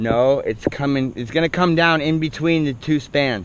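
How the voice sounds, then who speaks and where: A man's fairly even intonation at a moderate pace, dry sound with no echo. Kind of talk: casual work talk and explanation. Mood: joking, relaxed. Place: open country. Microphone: helmet.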